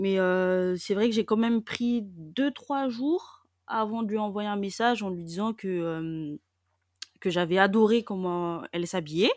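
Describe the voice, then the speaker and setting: A woman talks at a medium pitch and a fairly slow pace with ordinary pitch variation. The recording is very clean with a silent background. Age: 20s. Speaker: nursery childcare assistant. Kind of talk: personal testimony interview. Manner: hesitant, many filler words.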